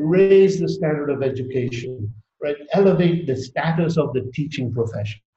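A man speaks with a somewhat breathy, dark, mellow tone at a fairly high pitch. His pace is moderate and his pitch variation ordinary. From Tanzania. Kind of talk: interview. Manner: halting.

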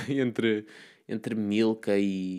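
In an ordinary speaking voice, a man talks at a fairly low pitch with fairly even intonation. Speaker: podcast host. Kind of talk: solo monologue. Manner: casual, self-deprecating.

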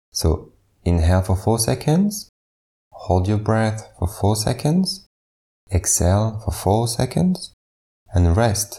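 A man speaks very slowly in a calm, soothing tone with a fairly low pitch and very even loudness. His intonation is lively, broken by long, frequent pauses. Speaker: meditation guide. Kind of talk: guided meditation. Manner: slow, calm, soothing; measured, evenly paced counting.

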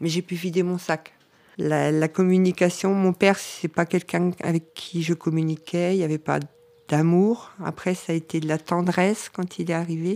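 A woman at a fairly low pitch with a dark, mellow tone and monotone, flat intonation, at a moderate pace in a very clean recording with a silent background. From northern France. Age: 50s. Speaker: family caregiver and care assistant. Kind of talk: personal testimony.

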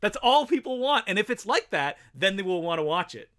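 In a raised, projected voice with a bright, sharp tone, a man speaks at a very fast pace and high pitch, his pitch swinging very widely. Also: very clean recording, silent background. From Canada, Ottawa and small French town. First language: French. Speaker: filmmaker and podcast host. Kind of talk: casual chat.

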